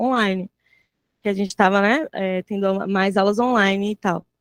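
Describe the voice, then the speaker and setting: A woman talks at a moderate pace in a normal speaking voice with ordinary pitch variation. The sound is dry and close, with no echo. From Salvador, Bahia, Brazil. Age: 20s. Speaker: mathematics teacher. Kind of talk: panel talk.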